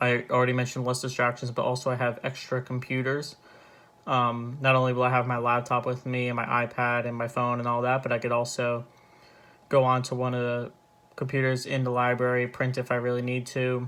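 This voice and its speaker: Soft-spoken, the speaker moves along at a fairly quick pace. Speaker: student vlogger. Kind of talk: casual vlog. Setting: at home. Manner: hesitant, with fillers.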